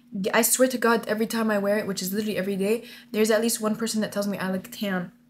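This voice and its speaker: Light background noise sits behind a woman with an Arabic accent. Her animated tone comes at a very fast pace. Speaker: vlogger. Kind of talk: casual vlog, monologue to camera, mixing English and Arabic. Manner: animated, casual, code-switching. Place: home room. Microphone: webcam.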